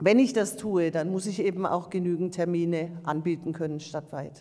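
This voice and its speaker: Against a quiet background, a woman with a fairly low pitch uses an ordinary speaking voice at a moderate pace and with fairly even intonation. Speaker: local council chair. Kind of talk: council meeting. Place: meeting room. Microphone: podium.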